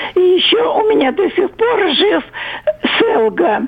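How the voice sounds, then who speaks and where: Over noticeable background noise, a woman speaks at a very slow pace with very wide pitch swings. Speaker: caller. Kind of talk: casual reminiscence. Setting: phone call.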